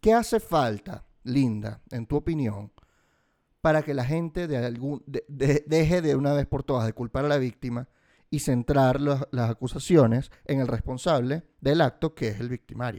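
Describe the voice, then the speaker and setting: At a fairly slow pace, a man speaks with a fairly high pitch and a dark, mellow tone. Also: ordinary pitch variation, dry, close sound with no echo. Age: 30s. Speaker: podcast host. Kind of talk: interview.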